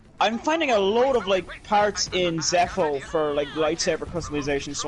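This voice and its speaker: A man talks at a fairly quick pace with ordinary pitch variation. Noticeable background noise runs underneath. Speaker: gaming streamer. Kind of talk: casual chat. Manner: animated.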